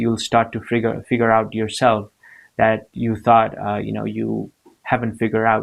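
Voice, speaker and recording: A man speaks with a non-native accent at a medium pitch. The recording is very clean, with a silent background. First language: not English. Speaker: motivational vlogger. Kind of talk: motivational talk to camera. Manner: hesitant, many fillers and repeats.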